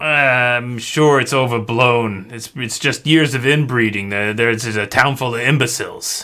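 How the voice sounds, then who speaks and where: A gruff, put-on character voice delivers its lines at a fairly slow pace. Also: man, medium pitch for a man. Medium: actual play. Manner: casual, gruff, streetwise, says yous.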